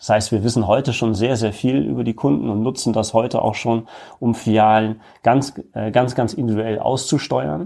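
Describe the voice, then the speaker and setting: A man speaks at a moderate pace in a medium pitch, with vocal fry. His tone is dark and mellow, with ordinary pitch variation. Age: 30s. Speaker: retail executive. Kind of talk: interview.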